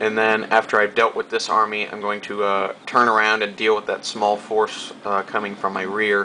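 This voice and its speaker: At a moderate pace and with hardly any pauses, a man with an American accent speaks in a fairly low, monotone, flat voice over noticeable background noise. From United States. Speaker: video game commentator. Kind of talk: gameplay commentary. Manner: hesitant, many fillers.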